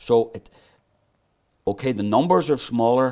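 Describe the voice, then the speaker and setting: A man's pitch varies in an ordinary way as he talks at a moderate tempo. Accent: Belfast. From Northern Ireland, North Belfast. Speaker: author and historian. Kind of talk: interview.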